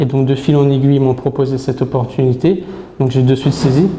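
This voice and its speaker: Over noticeable background noise, a man with a fairly high pitch speaks at a very fast pace in a monotone, flat intonation. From France, Brittany (Saint-Malo). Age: 20s. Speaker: sales manager. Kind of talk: interview. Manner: hesitant, many fillers.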